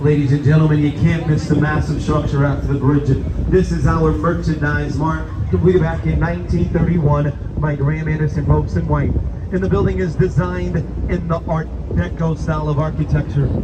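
A man at a fairly quick pace, with loud background noise. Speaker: boat tour guide. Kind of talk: tour guide commentary. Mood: upbeat, playful. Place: boat.

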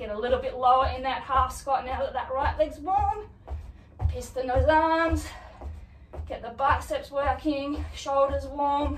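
A woman talks at a fairly slow pace with big swings in loudness. Music plays in the background, and room echo is audible. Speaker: fitness instructor. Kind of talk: workout instruction. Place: home room. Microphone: camera far.

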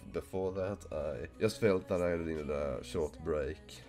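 Fairly slow, very deep and low male voice over music in the background. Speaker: gaming YouTuber. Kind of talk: casual talk to camera.

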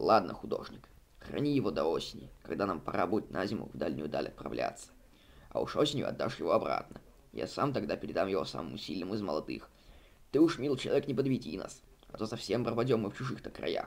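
Putting on a character voice, a man talks fast and low-pitched, with big pitch swings and vocal fry.

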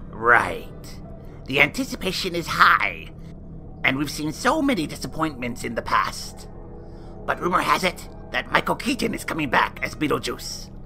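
Over clear music in the background, a cartoonish character voice talks at a middle pitch. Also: moderate pace. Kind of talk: campy horror-host banter. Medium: puppet show. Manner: gossipy, catty, theatrical.

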